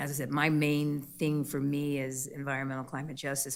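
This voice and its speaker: A woman speaks with a very deep, low pitch and vocal fry. Her pace is fairly quick. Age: 60s. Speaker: civil rights organization branch president. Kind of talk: public meeting presentation. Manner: halting, many fillers.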